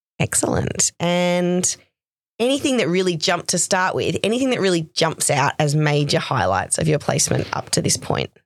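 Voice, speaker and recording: With an Australian accent, a woman speaks at a fairly low pitch with vocal fry and lively intonation. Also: moderate pace. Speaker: nurse educator interviewing a student. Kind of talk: casual interview.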